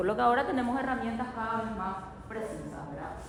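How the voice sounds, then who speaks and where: A woman talks at a very fast pace with a fairly high voice. Noticeable background noise and audible room echo surround her. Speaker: university lecturer. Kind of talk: lecture.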